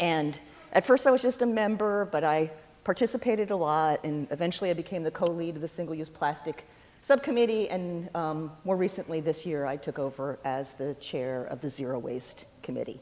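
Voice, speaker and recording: A woman's fairly low voice, an unremarkable speaking voice, with lively intonation at a fairly quick pace. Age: 60s. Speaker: guest speaker, environmental volunteer. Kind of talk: talk at a church forum. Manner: conversational with frequent fillers.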